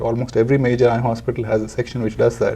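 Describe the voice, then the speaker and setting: Very fast, somewhat breathy speech in a Telugu accent, with a dark, mellow tone. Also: man. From India (Bangalore, Calcutta). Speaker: charity founder. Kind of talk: interview.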